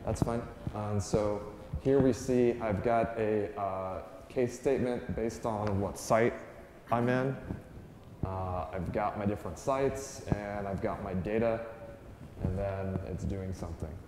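Speaking at a fairly slow pace with long, frequent pauses, a man with a fairly low voice and ordinary pitch variation is heard over noticeable background noise and audible room echo. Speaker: conference presenter. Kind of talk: lecture. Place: meeting room.

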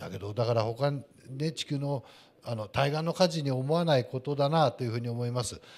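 Speech with ordinary pitch variation moves along at a fairly quick pace. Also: man. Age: 50s. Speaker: landscaping company president; guest. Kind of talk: panel talk at live event. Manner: formal. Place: hall. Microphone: handheld.

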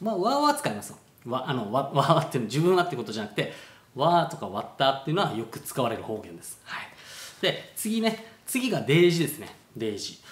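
With an Okinawan accent, a man talks at a fairly quick pace in a fairly high voice, his pitch swinging very widely and his loudness shifting a lot, with audible room echo around him. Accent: Okinawan-accented Japanese. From Okinawa, Japan. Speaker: travel vlogger. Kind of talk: casual talk to camera. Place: home room. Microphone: phone near.

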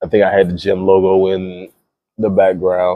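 Against a quiet background, a man with a very deep, low pitch talks at a moderate pace in a dry sound with no echo. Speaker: fitness coach vlogger. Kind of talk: casual gym vlog monologue. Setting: gym. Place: gym.

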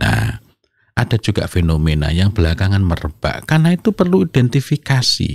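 A somewhat breathy, fairly quick delivery with very wide pitch swings and very even loudness, dry with no echo over a quiet background. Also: man, fairly low pitch for a man. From East Java, Indonesia. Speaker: Islamic parenting speaker and author; speaker. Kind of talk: interview talk on parenting. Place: studio. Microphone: studio mic.

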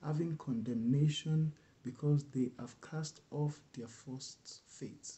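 A somewhat breathy man speaks at a very slow pace. His pitch variation is ordinary. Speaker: bible reader. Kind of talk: scripture reading. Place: home room. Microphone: webcam.

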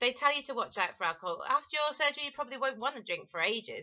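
With an English accent, a woman speaks in a bubbly tone at a high pitch with very wide pitch swings against a quiet background. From England. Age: 40s. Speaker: vlogger. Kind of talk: personal testimony vlog. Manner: hesitant, many fillers. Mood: earnest, warning, confessional. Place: home room. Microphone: webcam.

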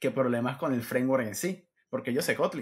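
Somewhat breathy male voice at a fairly slow pace, with ordinary pitch variation and a quiet background. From Venezuela. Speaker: Android developer; interview guest. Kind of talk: casual interview. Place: home room.

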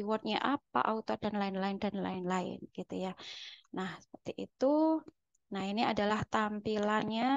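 Woman at a fairly slow pace with a medium pitch and ordinary pitch variation, dry sound with no echo over a quiet background. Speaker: lecturer. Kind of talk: lecture. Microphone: webcam.

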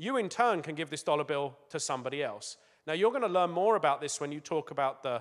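The voice makes very wide pitch swings. The background is quiet. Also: man. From England. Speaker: business executive. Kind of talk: talk to schoolchildren. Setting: school assembly with audience. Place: stage. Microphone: handheld.

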